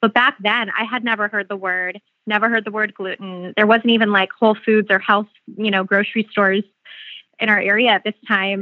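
A woman with an American accent, fairly high pitch, monotone, flat intonation and a fairly quick pace. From Phoenix, Arizona. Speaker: beauty brand founder. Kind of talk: interview.

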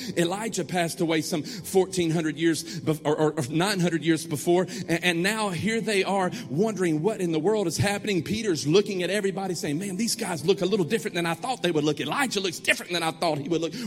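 A man speaks very fast in a high voice, with hardly any pauses and ordinary pitch variation. His tone is animated, and there is noticeable background noise. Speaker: pastor. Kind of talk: sermon, call-and-response with a live congregation. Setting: church with congregation. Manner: animated, exhorting, rallying the crowd with repeated commands; rhythmic, repetitive, building to emphatic refrains.

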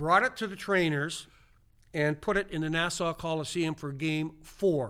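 A man with a Canadian Prairie accent speaks at a moderate pace with a fairly high, bright, sharp voice and ordinary pitch variation. The recording is very clean, with a silent background. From Saskatchewan, western Canada. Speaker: retired hockey player and coach. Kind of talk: casual interview, storytelling.

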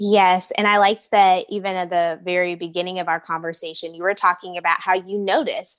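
Using an ordinary speaking voice, a woman of medium pitch talks at a fairly quick pace with hardly any pauses. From US Midwest and South. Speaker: podcast host and brand strategist. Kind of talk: podcast interview. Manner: upbeat.

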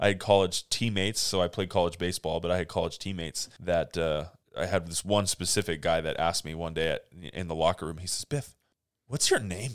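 On a very clean recording with a silent background, a man with a very deep, low voice talks at a fairly quick pace with ordinary pitch variation. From California, Monterey Peninsula. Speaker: podcast co-host, real estate broker. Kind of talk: casual chat.

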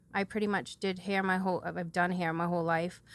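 Monotone and flat in intonation, a woman with an American accent speaks in a bright, sharp, medium-pitched voice on a very clean recording with a silent background. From New Bedford, Massachusetts. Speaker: hairdresser sharing testimony. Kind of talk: testimony.

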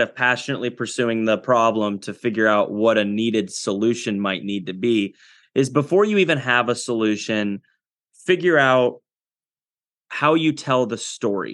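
Speaking at a moderate pace, a man with a Midwestern American accent uses a medium pitch and ordinary pitch variation. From US Midwest, Iowa. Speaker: agtech entrepreneur. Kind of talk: interview. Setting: studio.

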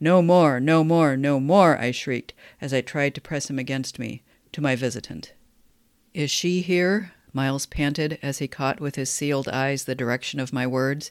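A moderate tempo carries the speech. Nothing can be heard behind it on this very clean recording. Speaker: podcast host and writing teacher. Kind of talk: dramatic narration of a novella passage, read aloud with rising tension; literary analysis lecture. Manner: measured, explanatory.

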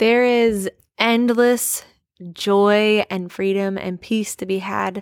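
With an American accent, a woman speaks in a normal speaking voice at medium pitch and fairly even intonation, the sound dry and close with no echo on a very clean recording with a silent background. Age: 20s. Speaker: podcast host. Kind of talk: casual devotional monologue.

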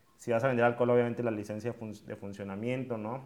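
This man's medium-pitched voice goes by at a very fast rate. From Mexico, Monterrey. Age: 20s. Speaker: entrepreneur and podcast host. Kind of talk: talk to students. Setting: video call.

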